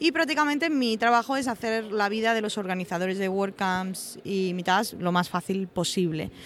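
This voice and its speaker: This is a woman with a normal speaking voice, medium in pitch. She talks at a moderate pace with lively intonation. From Andalusia, Spain (Osuna, Seville). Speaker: WordPress community manager. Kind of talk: podcast interview. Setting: recording in a palace venue with background noise.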